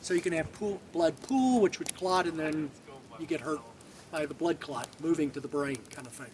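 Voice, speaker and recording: Man with fairly high pitch, lively intonation and a moderate pace, big swings in loudness, over noticeable background noise. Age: 70s. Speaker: military veteran hiker. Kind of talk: casual interview. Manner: halting, with many repeated words.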